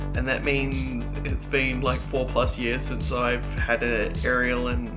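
A man talks at a fairly slow rate while clear music sounds in the background. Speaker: vlogger. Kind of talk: casual vlog chat. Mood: pleased, reflective. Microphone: webcam.

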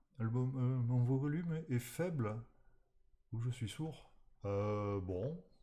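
A man speaks at a very slow pace with ordinary pitch variation. His speech is broken by long, frequent pauses. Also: quiet background. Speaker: programming streamer; live coding streamer. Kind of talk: live-streamed coding tutorial; casual live stream chat and programming tutorial. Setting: live stream from home. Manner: hesitant, many fillers.

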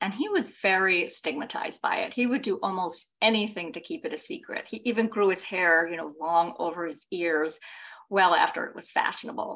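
A woman's fairly quick, lively speech with big swings in loudness. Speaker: author and hearing loss advocate. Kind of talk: book presentation on video call. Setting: video call. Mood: earnest, personal storytelling. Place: home room. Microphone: video call.

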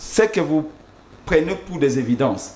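The recording has audible room echo. The speaker is a man. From DR Congo. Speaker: campaign communications director. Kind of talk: political talk show. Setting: TV studio. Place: studio.

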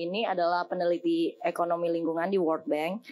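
With fairly even intonation, a woman talks at a moderate pace in a fairly low pitch. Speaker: head of talent at a digital agency, alumni speaker. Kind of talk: guest lecture to students. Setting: stage with audience in amphitheatre. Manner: casual, chatty. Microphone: podium.

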